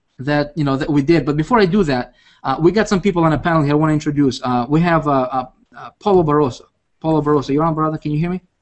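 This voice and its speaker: A man with a fairly high voice rattles along at a very fast pace. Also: ordinary pitch variation. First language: not English. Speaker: internet marketing coach. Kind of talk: webinar presentation. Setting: video call. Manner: animated; halting.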